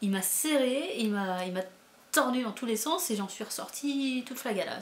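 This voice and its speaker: Animated and lively in intonation, a woman speaks at a fairly high pitch. Her moderate pace carries audible room echo. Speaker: booktuber, book reviewer. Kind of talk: casual book review vlog. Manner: animated, hesitant with many fillers and repetitions.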